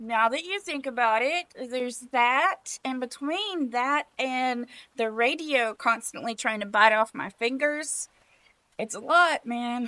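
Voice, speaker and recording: A put-on character voice, female-sounding and high-pitched, drawling at a fairly slow pace. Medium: comedy sketch. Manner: laid-back, drawling, says man a lot.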